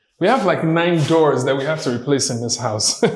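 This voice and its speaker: A man's fairly high voice carries through audible room echo. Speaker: YouTuber and property developer. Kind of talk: vlog walkthrough. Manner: casual, filler-heavy.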